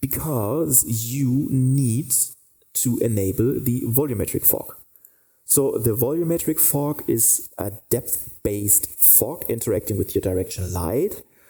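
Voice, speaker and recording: Speaking at a very slow pace, a man with a medium pitch uses a dark, mellow tone that is somewhat breathy, with ordinary pitch variation. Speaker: 3D lighting instructor. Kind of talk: tutorial. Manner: halting, many fillers.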